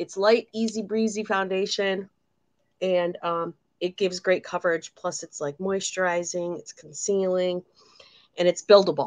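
An American accent from a woman at a moderate pace, with fairly even intonation, big swings in loudness, and a quiet background. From Michigan. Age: 50s. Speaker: beauty consultant, makeup tutorial co-host. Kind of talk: makeup tutorial livestream, casual. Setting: video livestream, remote. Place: home room.

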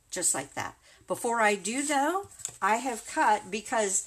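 This woman's voice is fairly high. Her pitch swings very widely. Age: 60s. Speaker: craft video creator. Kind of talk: tutorial. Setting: livestream. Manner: warm and chatty.

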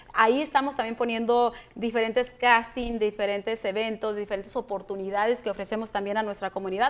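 Speaking at a fairly quick pace with hardly any pauses, a woman keeps a monotone, flat intonation. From Mexico (Michoacán). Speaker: film producer; guest. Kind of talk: interview. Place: studio.

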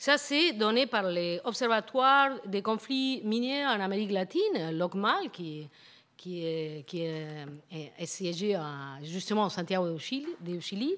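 A woman talks very slowly with a Spanish accent. Her pitch swings very widely. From Argentina. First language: Spanish (speaking French). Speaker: professor. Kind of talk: lecture. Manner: halting, many hesitations and repetitions. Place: hall. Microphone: podium.

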